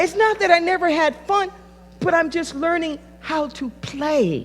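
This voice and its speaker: Extremely high-pitched, a woman's voice moves at a fairly slow pace. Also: ordinary pitch variation. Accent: American. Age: 60s. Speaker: pastor. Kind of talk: sermon.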